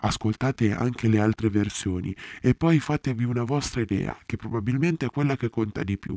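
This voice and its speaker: A man's dark, mellow, dramatic voice at a fairly quick pace with ordinary pitch variation, in a dry, close sound with no echo. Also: medium pitch for a man. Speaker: actor playing Ulysses. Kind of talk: theatrical first-person monologue in character, confiding storytelling to the audience. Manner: dramatic, expressive and intimate, with a wry, self-deprecating tone.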